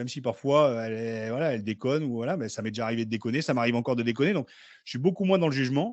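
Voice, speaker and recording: Talking at a very fast pace, a man keeps a medium pitch with ordinary variation. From northern France, Picardy (Beauvais area). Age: 40s. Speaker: former rugby player. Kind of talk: podcast interview. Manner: casual.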